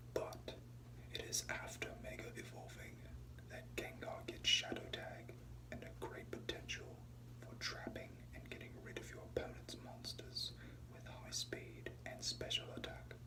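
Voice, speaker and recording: Soft-spoken and monotone, a man talks at a fairly slow pace with a very deep, low pitch, flat intonation, big swings in loudness and noticeable background noise. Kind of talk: ASMR reading.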